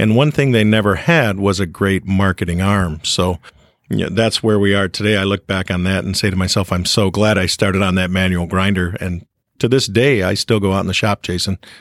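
On a very clean recording with a silent background and a dry, close sound with no echo, a man has a plain, everyday voice at a fairly low pitch. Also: fairly quick pace. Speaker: cutting tool manufacturer. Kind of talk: casual interview.

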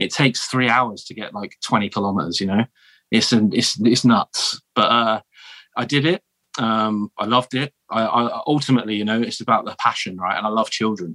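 With a southern English accent, a man speaks at a medium pitch and moderate pace in a bright, sharp tone with ordinary pitch variation, in a very clean recording with a silent background. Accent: posh southern English, likened to royalty. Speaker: military veteran turned teacher. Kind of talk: casual interview chat. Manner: halting, with repeated false starts.

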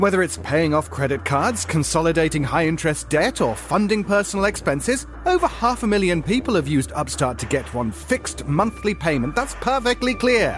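With a British accent, a man speaks in a theatrical tone at a moderate pace, with hardly any pauses and very even loudness, as music plays in the background. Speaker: podcast co-host reading an ad. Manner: theatrical, mock-indignant.

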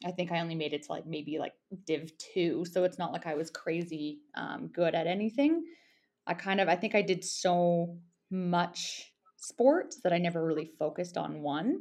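With a western Canadian accent, a woman speaks at a moderate pace and fairly low pitch with ordinary pitch variation, against a quiet background. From Alberta, Canada. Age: 30s. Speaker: ultramarathon runner. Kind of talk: casual interview chat.

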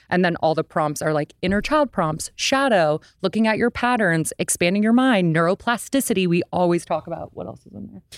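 A woman's normal speaking voice, a normal speaking voice at medium pitch, fairly quick with hardly any pauses and lively intonation, in a dry, close sound with no echo. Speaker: podcaster with social work background. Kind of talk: casual chat.

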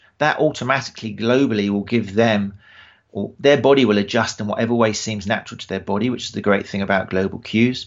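Fairly quick and fairly low in pitch, a man speaks with ordinary pitch variation. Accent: British. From England. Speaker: running form specialist and podcaster. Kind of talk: casual interview conversation.

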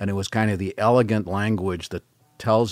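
The recording is very clean, with a silent background and a dry, close sound with no echo. A man speaks with a General American accent. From US West Coast, San Francisco Bay Area. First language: French. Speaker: government scientist. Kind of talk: casual chat. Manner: halting.

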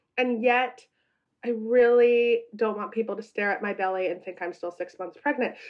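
A woman with a normal speaking voice, fairly high in pitch, at a moderate pace with fairly even intonation. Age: 40s. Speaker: celebrity culture reporter. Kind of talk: casual chat.

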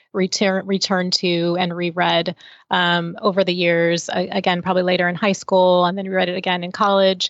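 A woman speaks at a moderate pace with a medium pitch and an unremarkable speaking voice. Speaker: film critic. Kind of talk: panel discussion, film review.

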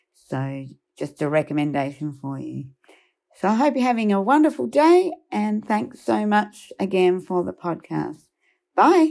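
Fairly slow speech from a woman with an Australian accent. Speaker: listener sending a question. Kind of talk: recorded voice message.

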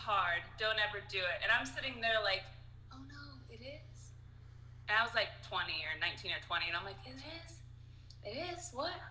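Audible room echo surrounds speech delivered at a moderate pace with long, frequent pauses. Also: woman. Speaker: comedian. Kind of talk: casual chat.

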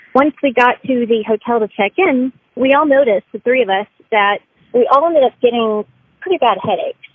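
Talking at a fairly quick pace, a woman has an unremarkable speaking voice, fairly high in pitch, with ordinary pitch variation. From Austin, Texas. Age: 30s. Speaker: storyteller. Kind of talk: testimony.

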